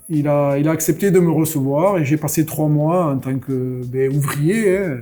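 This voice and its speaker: Over noticeable background noise, a man with a southwestern French accent speaks fairly slowly at a fairly high pitch, with ordinary pitch variation. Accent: singing southwest French. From southwest France (near Caussade, Tarn-et-Garonne). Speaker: craft brewer. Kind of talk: podcast interview. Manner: hesitant, many fillers (euh).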